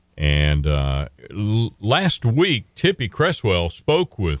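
In an Appalachian accent, a man speaks at a very deep, low pitch, with a dry, close sound with no echo on a very clean recording with a silent background. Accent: Southern US (Appalachian). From Western North Carolina. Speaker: radio host. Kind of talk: casual chat.

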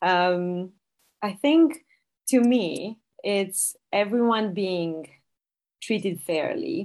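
A woman with a Romanian accent speaks very slowly at medium pitch, with lively intonation. She leaves long, frequent pauses. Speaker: product director. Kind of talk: interview conversation.

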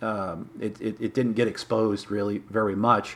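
Talking at a medium pitch, a man speaks with a Midwestern American accent. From Michigan, Detroit area. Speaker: magazine publisher and modeler. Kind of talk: interview.

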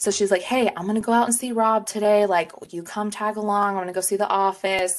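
A woman speaks with an American accent. Her pace is very fast. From Texas. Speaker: podcast co-host, insurance sales rep. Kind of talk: casual chat.

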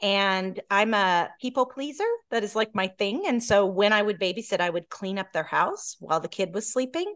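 With an American accent, a woman speaks at a medium pitch and a moderate pace with hardly any pauses. Her pitch variation is ordinary, and the background is quiet. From US South, Georgia, then California from age nine. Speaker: entrepreneur. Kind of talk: interview conversation. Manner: animated.

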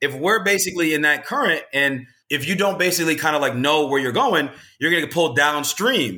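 A man with an American accent speaks at a fairly quick pace in a bright, sharp tone, his fairly high pitch showing ordinary variation, on a very clean recording with a silent background. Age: 30s. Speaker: home inspector. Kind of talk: casual chat.

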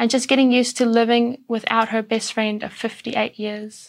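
A woman with a South African accent speaks at a fairly high pitch on a very clean recording with a silent background. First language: Afrikaans. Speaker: church speaker. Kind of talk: sermon.

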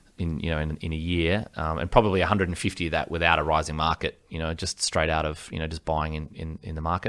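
A man with an Australian accent at a very fast pace, on a very clean recording with a silent background. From Australia, Gold Coast. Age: 40s. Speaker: property negotiator. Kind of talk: interview.

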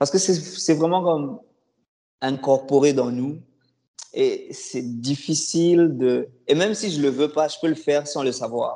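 A man speaks at a very slow pace in a fairly high pitch. His tone is dark and mellow, with ordinary pitch variation. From DR Congo, Kinshasa. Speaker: former student, newcomer services worker. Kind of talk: casual interview.

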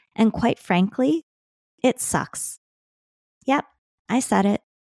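A woman with a plain, everyday voice at a fairly slow pace, ordinary pitch variation, a dry, close sound with no echo, in a very clean recording with a silent background. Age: 40s. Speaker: podcast host. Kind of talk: scripted monologue.

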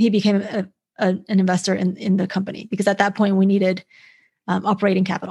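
With an American accent, a woman speaks at a medium pitch in a somewhat breathy voice. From China (Beijing) then US from age nine. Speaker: founder of an investment index, former financial advisor. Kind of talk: interview. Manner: many filler words (um, uh).

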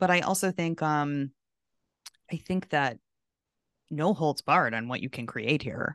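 A woman talks in a very deep, low pitch with ordinary pitch variation. Her pace is fairly slow, broken by long, frequent pauses. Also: quiet background. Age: 40s. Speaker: college essay advisor, podcast host. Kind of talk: casual chat. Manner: animated.

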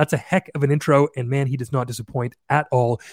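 In a very clean recording with a silent background, a man with a Canadian accent and a normal speaking voice talks at a fairly quick pace and fairly high pitch, the sound dry and close with no echo. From Canada. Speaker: podcast host. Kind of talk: casual interview conversation.

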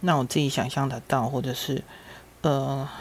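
A woman speaks in a very deep, low voice. Her intonation stays fairly even. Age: 50s. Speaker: podcast host. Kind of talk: personal storytelling monologue.

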